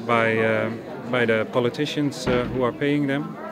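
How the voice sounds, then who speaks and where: Amid crowd noise and audible room echo, a man at medium pitch speaks at a moderate pace with fairly even intonation. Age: 30s. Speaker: dentist. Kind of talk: testimony. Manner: halting, repeating words.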